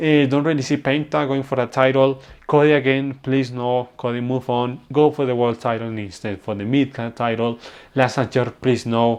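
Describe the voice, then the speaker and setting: A man at medium pitch with a non-native accent, fairly even intonation and a moderate pace. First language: non-native English speaker. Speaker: wrestling reviewer. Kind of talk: casual review talk.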